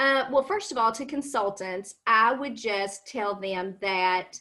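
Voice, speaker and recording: With a Kentucky accent, a woman speaks at a fairly slow pace in a bright, sharp tone, her fairly high pitch showing ordinary variation. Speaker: cosmetics sales consultant. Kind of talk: interview on a live stream.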